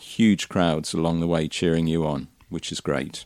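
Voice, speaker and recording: Heard on a very clean recording with a silent background, a man with a West Country accent speaks at a moderate pace and a very deep, low pitch. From Somerset, England. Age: 60s. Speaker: interviewee, community volunteer. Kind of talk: casual interview.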